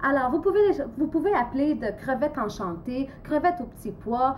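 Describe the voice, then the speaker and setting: At a moderate pace, a woman talks. Her high voice carries lively intonation. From Portugal. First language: Portuguese (speaking French). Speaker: amateur cooking vlogger. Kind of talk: cooking tutorial. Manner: halting, many hesitations.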